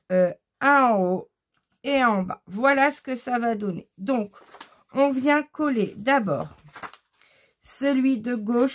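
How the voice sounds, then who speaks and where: Fairly high female pitch with ordinary variation in a woman's voice. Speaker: crafts tutorial youtuber. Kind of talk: tutorial.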